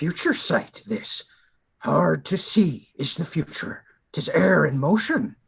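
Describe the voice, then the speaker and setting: Using a put-on character voice, a man speaks fairly slowly in a calm tone at a fairly high pitch. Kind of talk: Shakespearean verse reading. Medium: stage play. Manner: inverted word order, calm, sage.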